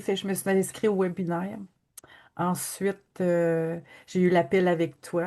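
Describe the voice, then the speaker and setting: A woman with a Quebec accent, speaking at a fairly slow pace against a quiet background. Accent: Québécois French. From Quebec, Abitibi-Témiscamingue. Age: 60s. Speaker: energy healing practitioner. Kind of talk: testimony.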